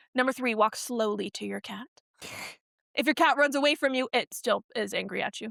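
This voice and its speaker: Bright, sharp and high-pitched, a woman talks fairly quickly with ordinary pitch variation and big swings in loudness, in a dry, close sound with no echo. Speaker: podcast co-host. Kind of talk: reading aloud how-to guide in casual chat.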